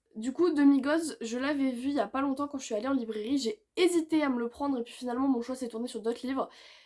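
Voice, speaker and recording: Loud and high-pitched, a woman talks at a fairly quick pace. Her pitch variation is ordinary. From southern France. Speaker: booktuber. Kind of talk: casual monologue.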